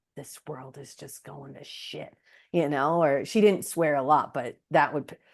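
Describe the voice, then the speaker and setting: A woman speaks with a very deep, low pitch and vocal fry, her pitch varying in an ordinary way while her loudness swings widely. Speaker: podcast host. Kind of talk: casual interview chat. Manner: animated.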